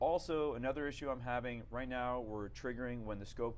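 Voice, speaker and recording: Audible room echo surrounds a man of medium pitch talking at a fairly quick pace. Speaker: webinar presenter. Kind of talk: scripted product demo. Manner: casual, filler-heavy.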